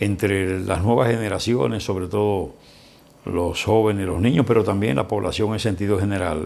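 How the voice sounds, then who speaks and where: A man in a Dominican accent speaks at a fairly low pitch with ordinary pitch variation. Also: moderate pace. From Dominican Republic, Barahona. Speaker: lawyer, broadcaster, journalist and writer. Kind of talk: interview answer.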